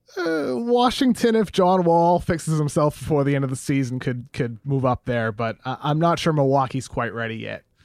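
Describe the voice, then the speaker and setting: A man talks at a moderate pace with hardly any pauses, using a plain, everyday voice that sits fairly high and has lively intonation. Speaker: basketball writer. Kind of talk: casual chat.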